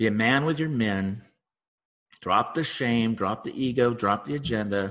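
A man with an unremarkable speaking voice talks at a medium pitch and a fairly slow pace, with ordinary pitch variation. The background is quiet. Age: 50s. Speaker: relationship psychotherapist and podcast host. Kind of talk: solo podcast monologue. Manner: casual with frequent fillers.

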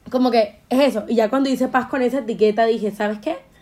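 A woman's fairly high-pitched, normal speaking voice, with ordinary pitch variation and a fairly quick pace. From Colombia, Caribbean coast (Montería). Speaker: podcast host. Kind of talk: casual chat.

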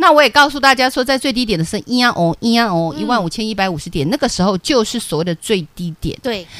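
A woman's fairly high voice with very wide pitch swings, a very fast pace and hardly any pauses. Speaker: stock market analyst. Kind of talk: radio stock analysis show. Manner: animated.

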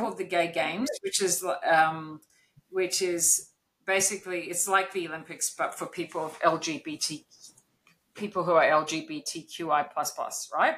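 Using a normal speaking voice, a woman talks fairly slowly at medium pitch with ordinary pitch variation. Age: 50s. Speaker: neurodiversity consultant and business owner. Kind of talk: interview.

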